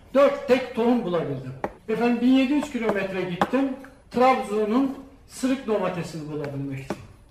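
Amid noticeable background noise and audible room echo, a man with an extremely high pitch and very wide pitch swings speaks at a moderate pace. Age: 60s. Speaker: retired banker and seed collector. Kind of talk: public talk. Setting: stage with audience.

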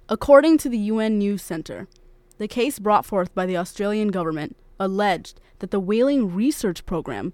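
There is an unremarkable speaking voice here, a woman at medium pitch talking at a fairly quick pace with ordinary pitch variation, on a very clean recording with a silent background. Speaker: news anchor. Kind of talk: news reading. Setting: studio. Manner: formal.

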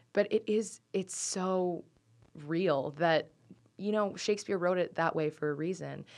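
A woman talks at a fairly slow pace in a plain, everyday voice. Her pitch sits in the medium range and varies in an ordinary way. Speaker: actor, theater student. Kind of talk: casual interview.

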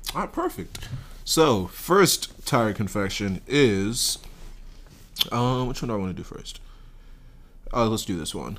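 Animated in tone, a man talks at a fairly slow pace, leaving long, frequent pauses while his loudness swings widely. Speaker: college podcast host. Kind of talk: casual chat.

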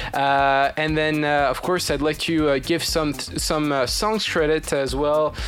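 A man with a fairly high pitch talks at a fairly slow pace with hardly any pauses, fairly even intonation and very even loudness, over noticeable background noise. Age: 20s. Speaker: student radio show host. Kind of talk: casual chat. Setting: studio. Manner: halting.

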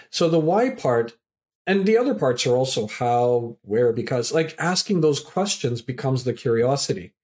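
A man with a plain, everyday voice at a medium pitch, with lively intonation, very even loudness and a moderate pace, on a very clean recording with a silent background. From Canada. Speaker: professor and community activator. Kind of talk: podcast interview.

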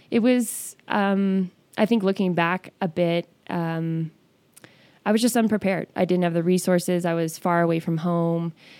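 A woman speaks in a normal speaking voice with an American accent. Her pitch is fairly low, her intonation fairly even, and her pace moderate. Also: very clean recording, silent background. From Northern California. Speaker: fitness studio owner. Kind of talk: interview.

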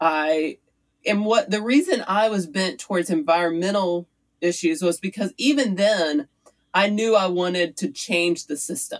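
At a fairly slow pace, a woman speaks in a plain, everyday voice with a medium pitch and ordinary pitch variation. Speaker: city council candidate. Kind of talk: interview conversation.

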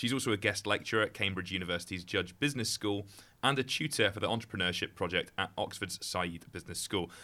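Here a man talks at a fairly quick pace with fairly low pitch. His tone is bright and sharp, and the recording is very clean with a silent background. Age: 30s. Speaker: podcast host. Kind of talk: interview.

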